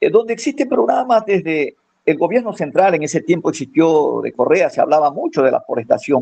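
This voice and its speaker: A man's pitch swings very widely as he keeps a moderate pace. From Ecuador, Manabí coast. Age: 60s. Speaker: farmer and former forestry promoter. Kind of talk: radio interview. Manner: halting, many fillers.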